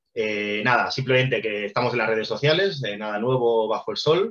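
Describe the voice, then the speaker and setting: A man talks at a fairly quick pace in a medium pitch. Music plays in the background. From Spain, Barcelona. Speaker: documentary project co-founder. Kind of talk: presentation talk. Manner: fast; hesitant, many fillers.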